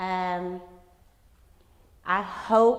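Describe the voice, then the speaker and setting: There's audible room echo as a woman with an American accent speaks at a fairly low pitch. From Texas. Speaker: elementary school principal. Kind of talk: conference talk.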